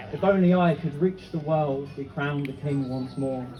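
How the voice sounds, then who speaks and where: There is noticeable background noise as a man speaks at a moderate pace. His voice is fairly high and his pitch variation is ordinary. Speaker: spoken word poet. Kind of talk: live spoken word poetry performance. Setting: live festival stage.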